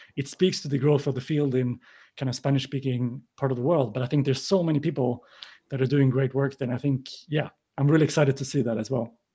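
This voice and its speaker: Somewhat breathy, with a dark, mellow tone, a man speaks at a fairly high pitch with fairly even intonation. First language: not English. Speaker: podcaster and newsletter writer. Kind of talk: panel discussion.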